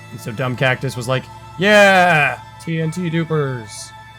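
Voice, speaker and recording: With music in the background, this man's intonation is lively. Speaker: gaming YouTuber. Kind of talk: game commentary voice-over. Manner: casual, joking.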